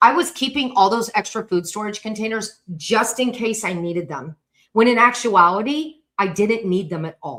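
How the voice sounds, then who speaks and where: A loud woman's voice, fairly high-pitched, with very wide pitch swings. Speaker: decluttering coach. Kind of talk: live stream talk. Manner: fast.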